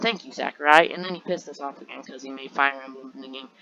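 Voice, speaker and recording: At a very fast pace, a woman speaks with ordinary pitch variation. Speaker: gaming YouTuber. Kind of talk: casual rant video. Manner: animated.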